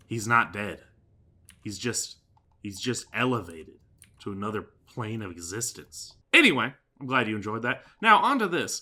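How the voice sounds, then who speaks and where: A man's bright, sharp voice at a medium pitch, at a moderate pace with ordinary pitch variation, big swings in loudness and long, frequent pauses, in a very clean recording with a silent background. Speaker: gaming video creator. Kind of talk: casual gameplay commentary. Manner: casual, filler-heavy with repetitions.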